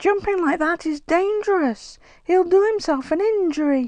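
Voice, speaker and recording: An extremely high, squeaky, female-sounding put-on character voice. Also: moderate pace. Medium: read story.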